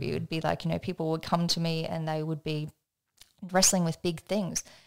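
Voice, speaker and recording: With an Australian accent, a woman speaks at a fairly quick pace and fairly low pitch. Her intonation is fairly even, and the recording is very clean with a silent background. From Australia (country area). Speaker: energetics trainer and business coach. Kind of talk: podcast interview, personal story. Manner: casual, conversational.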